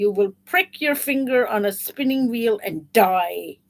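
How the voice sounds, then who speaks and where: Using a growling put-on character voice, a woman speaks at a fairly slow pace with a fairly high pitch. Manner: snarling.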